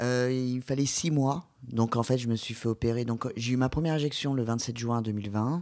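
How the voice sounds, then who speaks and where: In a plain, everyday voice, a man talks at a moderate pace and medium pitch, with fairly even intonation, very even loudness and hardly any pauses. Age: 30s. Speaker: patient sharing surgery experience. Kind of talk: testimony.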